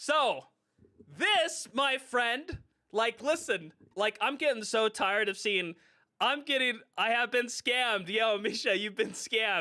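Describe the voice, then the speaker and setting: A man's raised, projected voice at an extremely high pitch, bright and sharp in tone, with lively intonation, very even loudness and a fairly slow pace. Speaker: gaming streamer. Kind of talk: live stream commentary. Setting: live stream. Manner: animated.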